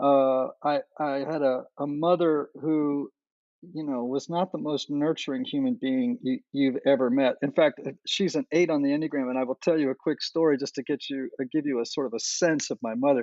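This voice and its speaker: Here a man speaks at a fairly high pitch and a moderate pace. His pitch varies in an ordinary way, in an unremarkable speaking voice. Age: 60s. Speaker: enneagram teacher and podcaster. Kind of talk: interview.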